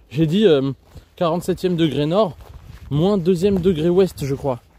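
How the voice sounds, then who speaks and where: A man speaks at a moderate pace with lively intonation. His fairly high voice has a dark, mellow tone. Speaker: geography streamer. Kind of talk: live stream hiking vlog. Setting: outdoors on a hiking trail. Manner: speaks softly.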